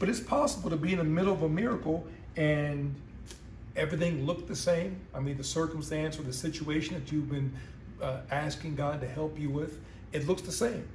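A man at a fairly quick pace with ordinary pitch variation, light background noise and audible room echo. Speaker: pastor. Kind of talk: sermon. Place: home room. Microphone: phone near.

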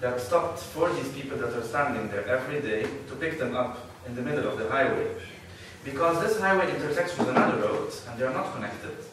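A man talking at a very fast pace over loud background noise, with audible room echo. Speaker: conference speaker. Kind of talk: lecture. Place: hall.

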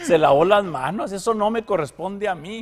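A man talks. Background noise is clearly audible. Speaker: news show co-host. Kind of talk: casual news commentary.

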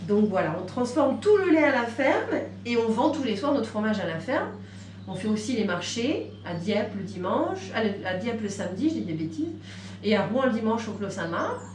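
Against light background noise and audible room echo, a woman talks at a moderate pace. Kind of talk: explanation to a visitor. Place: shop. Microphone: camera far.

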